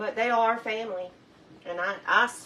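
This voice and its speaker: A woman with a Southern US accent, medium pitch, ordinary pitch variation and a fairly quick pace, over noticeable background noise. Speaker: cooking show host. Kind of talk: cooking tutorial. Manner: fast; casual chatty.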